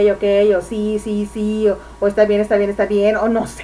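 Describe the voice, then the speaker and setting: A Mexican accent comes through at a fairly slow pace, with noticeable background noise. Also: woman. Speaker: public speaking instructor. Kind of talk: lecture.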